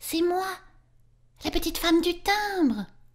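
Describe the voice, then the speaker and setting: Squeaky and extremely high-pitched, a woman's put-on character voice moves at a moderate pace. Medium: read story.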